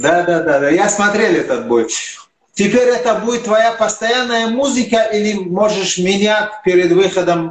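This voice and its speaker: This man's pitch is high and varies in an ordinary way, and his loudness stays very even. He talks at a fairly slow pace, and some room echo can be heard. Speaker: sports channel interviewer. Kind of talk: interview. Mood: friendly, curious. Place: home room. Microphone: video call.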